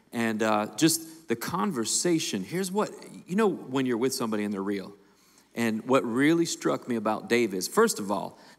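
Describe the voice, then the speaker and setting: A man talks at a moderate pace. The background stays quiet. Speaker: lead pastor. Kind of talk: sermon-style introduction. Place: stage. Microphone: handheld.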